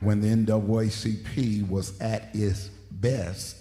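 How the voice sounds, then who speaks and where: Somewhat breathy and flat in intonation, a man speaks in a monotone while audible room echo surrounds him. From Detroit, US Midwest. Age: 60s. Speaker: pastor. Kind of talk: sermon. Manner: emphatic, repeats points.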